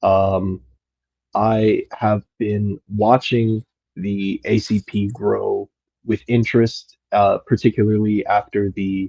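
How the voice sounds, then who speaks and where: A man with an American accent speaks at a very slow pace in a flat monotone, his pitch fairly low and his tone dark and mellow. The sound is dry and close, with no echo. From United States. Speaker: caller. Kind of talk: question to host in live audio space.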